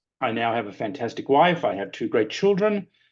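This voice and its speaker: Over a quiet background, a man with an Australian accent speaks at a moderate pace with lively intonation. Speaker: lecturer and former consultant. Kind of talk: webinar presentation.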